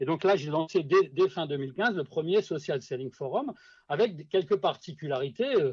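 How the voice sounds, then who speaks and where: This man's fairly high voice moves along at a moderate pace. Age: 60s. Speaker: social selling consultant. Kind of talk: podcast interview. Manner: hesitant, many fillers and repetitions.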